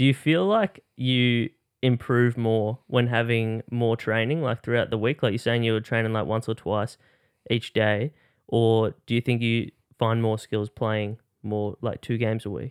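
A man with an Australian accent talks at a fairly slow pace with fairly even intonation. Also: medium pitch for a man. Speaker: podcast host. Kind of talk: casual chat.

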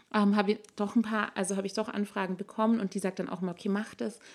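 In a very clean recording with a silent background, a woman speaks very fast at a medium pitch. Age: 20s. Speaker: doula and birth-preparation instructor. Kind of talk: interview.

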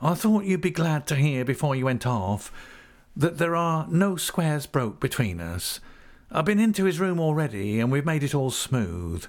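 A man puts on a croaky character voice with a fairly high pitch and very wide pitch swings at a moderate pace. The recording is very clean, with a silent background. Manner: insinuating.

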